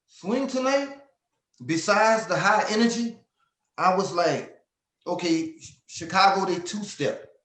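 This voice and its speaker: With an American accent, a man talks at a fairly slow pace in a high pitch for a man, with ordinary pitch variation, long, frequent pauses and audible room echo. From Louisiana, Lafayette. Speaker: southern soul singer. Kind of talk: interview. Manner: animated, repetitive stammering.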